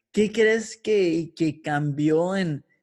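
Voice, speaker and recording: Fairly high in pitch for a man, his voice has a dark, mellow tone and ordinary pitch variation. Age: 20s. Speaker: podcast host. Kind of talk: casual interview conversation.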